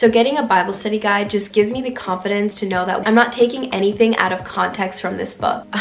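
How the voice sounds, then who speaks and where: A woman's medium-pitched voice at a fairly quick pace, with fairly even intonation and noticeable background noise. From Ethiopia. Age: 20s. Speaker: lifestyle YouTuber. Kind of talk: casual talk to camera.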